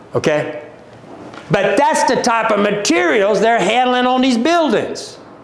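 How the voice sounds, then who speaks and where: Amid noticeable background noise and audible room echo, a man with a high pitch speaks fairly slowly in an animated tone, with very wide pitch swings and very even loudness. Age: 60s. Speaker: company owner presenting a livestream. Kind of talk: livestream sales talk. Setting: social media livestream.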